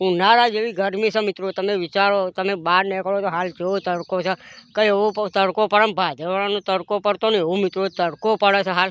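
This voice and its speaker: A man talks in a high pitch with monotone, flat intonation. The sound is dry and close with no echo, over a quiet background. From Gujarat, Mehsana district (Vadnagar). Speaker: vlogger and comedy actor. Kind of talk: casual vlog narration to camera. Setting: outdoors at a film shoot.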